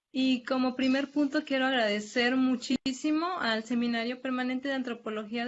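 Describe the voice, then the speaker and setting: The voice belongs to a woman and sits high in pitch. She talks fairly slowly. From Mexico, Tamazunchale, San Luis Potosí. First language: Nahuatl (speaking Spanish). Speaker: graduate student presenter, nurse. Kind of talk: academic presentation. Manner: halting, many fillers.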